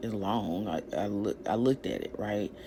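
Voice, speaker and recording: The woman's delivery is fairly slow. Background noise is noticeable throughout. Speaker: vlogger with a doctorate sharing personal story. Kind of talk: personal vlog monologue. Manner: loud.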